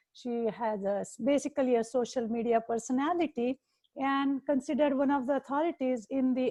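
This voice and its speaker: Speaking with an Indian accent, a woman with high pitch has a dark, mellow tone and ordinary pitch variation. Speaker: nutritionist podcast host. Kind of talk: casual interview chat. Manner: halting.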